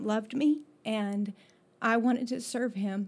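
In an ordinary speaking voice, a woman talks at a fairly slow pace with a fairly high pitch. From Florida, partly raised in Mexico. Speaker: schoolteacher. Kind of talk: testimony. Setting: office.

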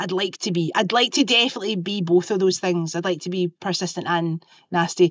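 In a Lanarkshire accent, a woman talks at a fairly quick pace. Her medium-pitched voice keeps a fairly even intonation. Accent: Scottish (Lanarkshire). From Scotland, Lanarkshire. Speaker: choreographer and podcast host. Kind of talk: casual chat. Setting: video call. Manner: fast.

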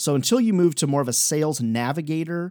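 A man talks in an ordinary speaking voice with lively intonation. The pace is moderate, and the recording is very clean with a silent background. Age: 40s. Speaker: sales coach and podcast host. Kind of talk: solo podcast monologue, sales advice. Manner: casual, conversational with fillers.

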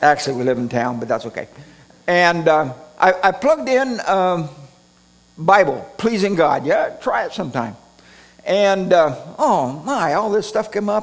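A man with an American accent speaks at a moderate pace in a high voice, his pitch swinging very widely over noticeable background noise. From Redding, California. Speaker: preacher. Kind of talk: sermon. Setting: church with congregation.

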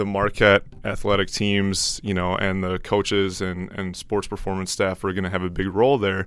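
Here a man talks in an ordinary speaking voice with an American accent. He is fairly low-pitched and keeps a moderate pace. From Wisconsin, Milwaukee area. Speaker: research lab manager and PhD student. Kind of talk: casual interview conversation.

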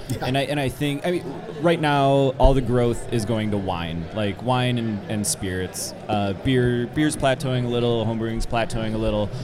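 Music plays in the background as a man talks at a moderate pace. His pitch is medium, with ordinary pitch variation. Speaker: podcast host interviewer. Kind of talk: casual interview chat. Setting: live on convention floor.

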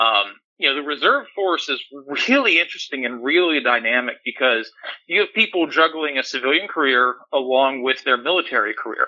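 A plain, everyday voice with an American accent, lively intonation and a fairly quick pace. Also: man, fairly high pitch for a man. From Pennsylvania, US. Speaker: navy reservist sailor. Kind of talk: podcast interview.

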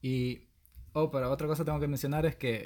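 The speaker is a man with a fairly high pitch. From El Salvador. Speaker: podcast host. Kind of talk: casual chat.

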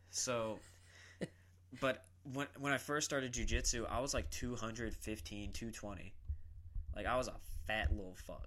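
He has an American accent. The man's tone is bright and sharp. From South Carolina, Columbia. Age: 20s. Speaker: jiu-jitsu practitioner. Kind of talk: casual chat.

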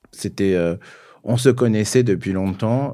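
A man's dark, mellow tone at a fairly slow pace, on a very clean recording with a silent background. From southern France (Cévennes, Gard). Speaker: fashion publicist. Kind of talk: interview conversation. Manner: halting, many repetitions.

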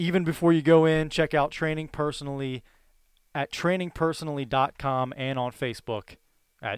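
An ordinary speaking voice at a fairly quick pace, with big swings in loudness and ordinary pitch variation. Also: man. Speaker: sports podcast co-host. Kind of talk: casual chat.

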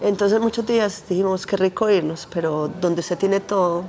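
Noticeable background noise sits behind a woman speaking at a moderate pace. Her voice is medium in pitch with monotone, flat intonation. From Colombia, Antioquia (San Carlos). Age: 40s. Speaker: conflict survivor. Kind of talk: testimony.

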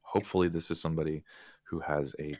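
Very deep and low, a man's voice drones in a monotone, flat intonation with vocal fry. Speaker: vaping advocacy policy update presenter. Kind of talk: remote policy update interview. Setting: remote call. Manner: hesitant, many fillers.

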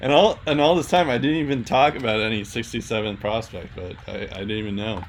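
Lively intonation runs through speech delivered with hardly any pauses, over noticeable background noise. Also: man, medium pitch for a man, moderate pace. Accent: slight Boston. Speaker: podcast host. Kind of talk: casual sports podcast discussion. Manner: filler-heavy, casual.

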